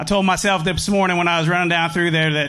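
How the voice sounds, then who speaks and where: A man with an American accent talks at a very fast pace and a high pitch, with fairly even intonation. The recording has audible room echo and noticeable background noise. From US Midwest, Indiana. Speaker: professional angler. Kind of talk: stage interview.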